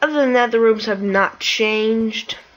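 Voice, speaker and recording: Noticeable background noise surrounds a woman who talks in a quiet voice. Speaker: gaming youtuber. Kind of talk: gameplay commentary.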